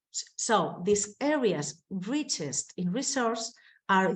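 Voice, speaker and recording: Speaking at a very slow pace, a woman with a Spanish accent has a fairly high, somewhat breathy voice. Her pitch swings are very wide. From Spain. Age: 20s. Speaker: mayor. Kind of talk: conference presentation. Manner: halting.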